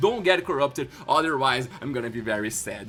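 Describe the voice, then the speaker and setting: Over music in the background, a man speaks in an animated tone with a Brazilian accent. His intonation is lively and his pace fairly quick. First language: Portuguese. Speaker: YouTuber. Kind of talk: casual vlog narration.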